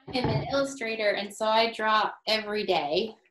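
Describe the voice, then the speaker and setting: In a room with audible echo and light background noise, a woman speaks at a moderate pace. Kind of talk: storytime read-aloud and chat with children. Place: home room. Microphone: webcam.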